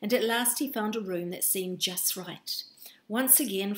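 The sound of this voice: Unforced reading, pitch moving in an ordinary range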